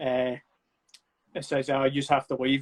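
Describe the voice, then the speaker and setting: A man with a Scottish accent is heard in a dry, close sound with no echo. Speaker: actor and film producer. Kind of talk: casual chat. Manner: loud.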